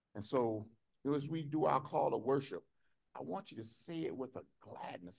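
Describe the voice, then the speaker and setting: Vocal fry runs through a man's voice at a moderate pace. The background is quiet. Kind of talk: sermon. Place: hall. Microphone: podium.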